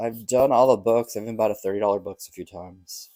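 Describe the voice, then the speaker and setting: Fairly quick, mumbled speech from a man, dark and mellow in tone, with fairly even intonation. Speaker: lottery scratch-off youtuber. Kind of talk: casual vlog commentary. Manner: tends to mumble.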